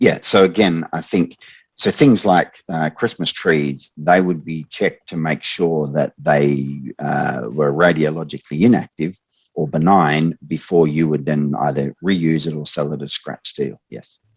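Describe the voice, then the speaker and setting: In an Australian accent, a man talks at a fairly slow pace with a very deep, low pitch. His pitch varies in an ordinary way, and the sound is dry and close with no echo. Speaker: expert trainer. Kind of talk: online training Q&A.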